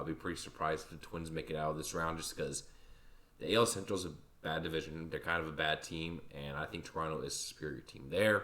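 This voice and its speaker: A man speaks at a fairly quick pace with a very deep, low pitch. Noticeable background noise is present. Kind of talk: casual talk to camera, sports predictions.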